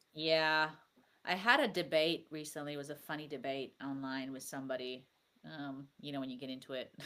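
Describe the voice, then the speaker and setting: A woman's very deep, low pitch with a bright, sharp tone, big swings in loudness and a fairly quick pace. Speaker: podcast host. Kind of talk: casual chat. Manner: animated.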